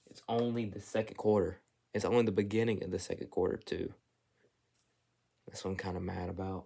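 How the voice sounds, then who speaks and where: Speaking at a fairly quick pace with long, frequent pauses, a man uses a fairly low-pitched voice with a dark, mellow tone and big swings in loudness. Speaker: sports video creator. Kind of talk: casual film breakdown commentary. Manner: animated.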